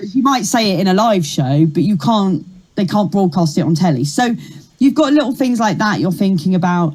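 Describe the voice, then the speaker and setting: Talking at a fairly quick pace, a woman with a medium pitch and a somewhat breathy voice makes very wide pitch swings. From Kent, south-east England. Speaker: comedian. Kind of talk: interview.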